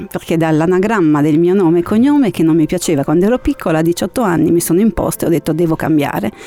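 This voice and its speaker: Speaking at a very fast pace with hardly any pauses, a woman with a fairly low pitch uses lively intonation and very even loudness over noticeable background noise. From northern Italy, Genoa and Milan. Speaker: university student. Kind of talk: interview.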